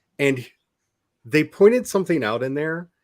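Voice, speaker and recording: Here is a man speaking. His intonation is lively. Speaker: podcast host. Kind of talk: casual discussion. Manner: casual, conversational.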